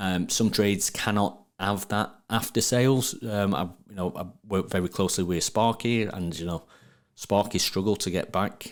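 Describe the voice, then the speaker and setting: A man with a Sheffield accent talks at a moderate pace and fairly low pitch, with fairly even intonation, in a very clean recording with a silent background. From northern England, Sheffield. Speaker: plumbing business owner and trade marketing expert. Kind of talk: podcast interview. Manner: repetitive, stumbling on words.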